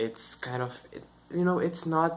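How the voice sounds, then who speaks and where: A man with a Brazilian Portuguese accent and ordinary pitch variation. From northeast Brazil (Maranhão). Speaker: YouTuber, English learning channel. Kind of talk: casual vlog talk to camera. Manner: halting, many fillers.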